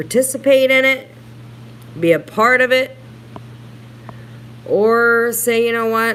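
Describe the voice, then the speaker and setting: At a fairly slow pace, a woman with a fairly high voice speaks over noticeable background noise. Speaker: YouTube livestreamer. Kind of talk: casual livestream chat reading comments.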